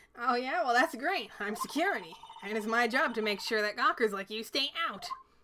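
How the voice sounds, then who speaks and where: A woman puts on a gruff character voice, high in pitch. She talks at a fairly quick pace with lively intonation. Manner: cranky, gruff.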